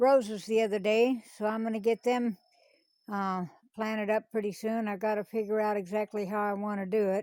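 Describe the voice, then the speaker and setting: A woman with a dark, mellow tone speaks at a moderate pace. The sound is dry and close, with no echo. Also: very clean recording, silent background. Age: 70s. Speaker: homesteading vlogger. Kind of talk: casual vlog narration.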